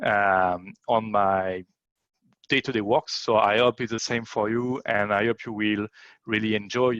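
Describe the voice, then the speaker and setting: Speaking in a French accent, a man delivers his words at a fairly slow pace in a monotone, flat intonation, with a dry, close sound, no echo and a quiet background. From France. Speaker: event emcee. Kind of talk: conference introduction. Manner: halting with many fillers.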